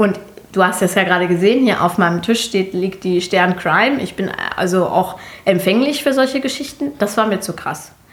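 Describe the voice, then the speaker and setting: A woman with a medium pitch and ordinary pitch variation is heard over noticeable background noise. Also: moderate pace. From Germany. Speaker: podcast co-host. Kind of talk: casual chat.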